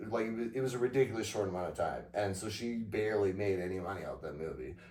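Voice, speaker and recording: A man mumbles at a fairly low pitch in a dark, mellow tone. His pitch variation is ordinary, and audible room echo surrounds his voice. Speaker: podcast co-host. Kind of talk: casual chat. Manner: mumbling.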